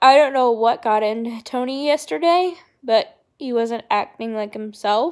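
A woman with a high-pitched voice talks at a fairly slow pace on a very clean recording with a silent background. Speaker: vlogger. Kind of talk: personal vlog. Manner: halting, many fillers.

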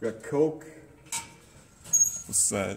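Light background noise is audible as a man talks. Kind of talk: casual vlog chat. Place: shop. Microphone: phone near.

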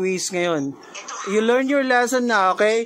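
A woman talks at a moderate pace, her pitch swinging very widely. Background noise is noticeable. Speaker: reaction video creator arguing with a friend. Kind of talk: heated argument on a call. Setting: messenger call. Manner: animated, frequent laughing.

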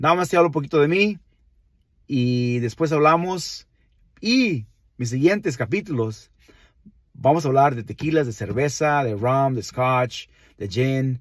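A man speaks with long, frequent pauses. The sound is dry with no echo against a quiet background. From Mexico, Nayarit (Villa Juárez, Santiago Ixcuintla); Nayarit, Mexico. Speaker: wine enthusiast, channel host; channel host. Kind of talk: casual vlog monologue. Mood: warm, proud, friendly. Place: car. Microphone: phone near.

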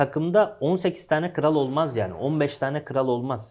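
His voice sits fairly high for a man, at a moderate pace. The recording is very clean, with a silent background. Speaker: football pundit. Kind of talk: casual sports talk show.

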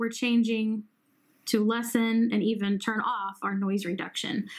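A woman talks at moderate speed with a quiet background behind her. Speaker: hearing care professional demonstrating app. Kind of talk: tutorial.

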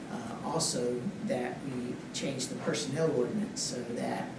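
There is loud background noise and audible room echo. Through it, a man speaks at a fairly slow pace. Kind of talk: formal presentation to board. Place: hall. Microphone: podium.

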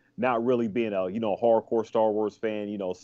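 Monotone and flat, a man with a fairly low pitch speaks at a moderate pace. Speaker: podcast co-host. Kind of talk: casual podcast discussion. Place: home room. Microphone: video call.

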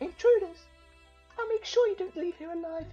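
A put-on character voice at an extremely high pitch, fairly quick in pace, with faint music in the background. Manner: angry, threatening.

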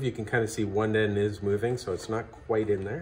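Moderate-paced speech from a man, over light background noise. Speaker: craft instructor. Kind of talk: tutorial.

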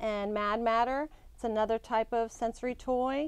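Delivered at a fairly slow pace with ordinary pitch variation, the speech has a dry sound with no echo and a quiet background. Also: woman. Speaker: guest. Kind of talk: interview answer. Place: shop.

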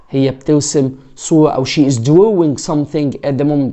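Fairly quick and fairly high in pitch, a man talks with fairly even intonation against a quiet background. He has a plain, everyday voice. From Egypt. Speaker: English teacher. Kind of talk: tutorial. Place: home room. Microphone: lapel.

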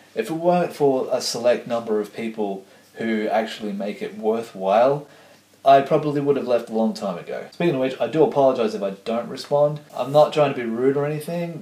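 There is audible room echo as a man talks at a fairly quick pace. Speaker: vlogger. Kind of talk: casual vlog chat. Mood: ranting, mildly annoyed. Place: kitchen. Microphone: camera far.

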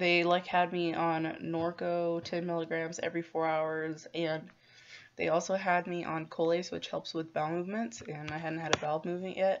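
A woman's fairly low, monotone, flat voice at a moderate pace, with light background noise. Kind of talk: casual vlog chat. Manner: drowsy, medicated, slow speech. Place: home room. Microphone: phone near.

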